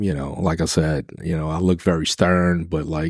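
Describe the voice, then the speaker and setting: Speech runs at a moderate pace with monotone, flat intonation. The recording is very clean with a silent background, and the sound is dry and close with no echo. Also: man. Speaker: chef and restaurant manager. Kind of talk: casual interview chat. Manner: dry, deadpan.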